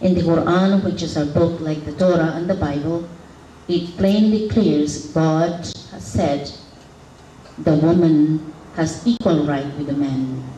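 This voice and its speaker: In a room with audible echo and noticeable background noise, a woman with a fairly low pitch speaks at a fairly slow pace with ordinary pitch variation. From Philippines. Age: 60s. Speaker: community leader. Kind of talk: symposium talk.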